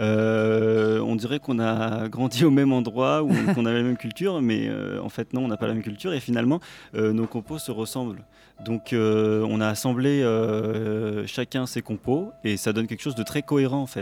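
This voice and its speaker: A man speaks with an unremarkable speaking voice at a medium pitch. His pace is moderate and his pitch varies in an ordinary way. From Israel. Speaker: jazz pianist. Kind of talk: live radio interview. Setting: live at a jazz club.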